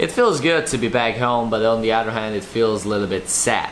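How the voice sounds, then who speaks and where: A man speaks at a moderate pace. There is light background noise. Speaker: graffiti artist vlogger. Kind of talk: casual vlog chat. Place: home room. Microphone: phone near.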